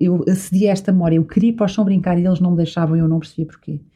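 Her voice is dark, mellow and somewhat breathy, a woman at medium pitch with fairly even intonation. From Azores, São Miguel. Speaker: entrepreneur and retreat organizer. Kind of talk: casual interview.

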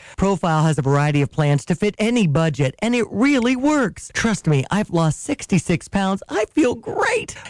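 A man at a high pitch and moderate pace, very wide pitch swings, hardly any pauses, a dry, close sound with no echo and noticeable background noise. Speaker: radio co-host and news/sports reader. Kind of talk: radio banter and ad reading.

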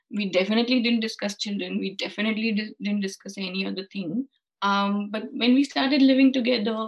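Somewhat breathy, a woman talks at a fairly high pitch. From India. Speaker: freelance content writer. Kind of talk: casual interview.

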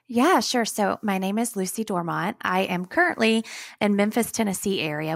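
Heard in a dry, close sound with no echo, a woman with a Southern US accent speaks at a medium pitch with ordinary pitch variation. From northern Alabama. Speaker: nonprofit founder and social media manager. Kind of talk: casual interview.

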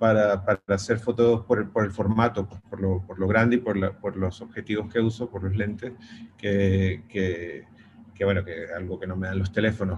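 Somewhat breathy, a man talks at a fairly low pitch with monotone, flat intonation. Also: moderate pace. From Venezuela. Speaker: pet photographer. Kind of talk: interview. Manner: halting.

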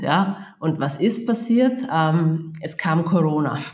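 A woman with an Austrian accent speaks at a fairly low pitch. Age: 40s. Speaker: procurement agency founder. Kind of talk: podcast interview.

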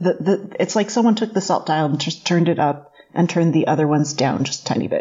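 Talking at a very fast pace with hardly any pauses, a woman speaks at a fairly low pitch. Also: ordinary pitch variation. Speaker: test cook and TV cooking presenter, guest co-host. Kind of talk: casual chat.

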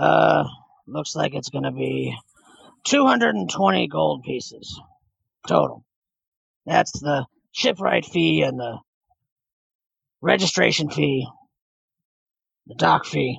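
A gruff, raspy put-on character voice at a fairly slow pace, with long, frequent pauses. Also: man, medium pitch for a man. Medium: actual play. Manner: gruff, curt.

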